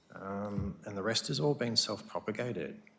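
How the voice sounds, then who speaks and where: A man talks at a moderate pace. He has an Australian accent. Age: 40s. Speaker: farmer. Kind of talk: council meeting Q&A. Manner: halting.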